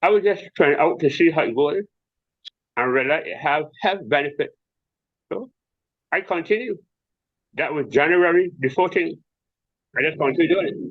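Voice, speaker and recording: Speaking in a Barbadian accent, a man uses a high pitch and lively intonation. He keeps a moderate pace but leaves long, frequent pauses. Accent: Bajan (Barbadian) dialect. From Barbados. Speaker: visually impaired tai chi athlete. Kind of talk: interview answer.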